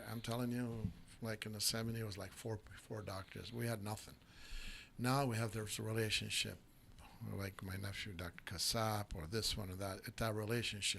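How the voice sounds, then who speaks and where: A man talks at a moderate pace in a fairly low pitch, his tone bright and sharp and his intonation fairly even. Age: 70s. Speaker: talk show host. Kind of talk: casual interview. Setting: studio. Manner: code-switching English and Aramaic/Arabic.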